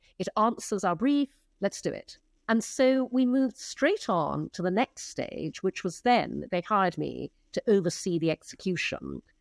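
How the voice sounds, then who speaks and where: Recorded very clean against a silent background, a woman speaks at a moderate pace with a dry, close sound and no echo. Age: 60s. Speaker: advertising executive and entrepreneur. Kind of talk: interview conversation.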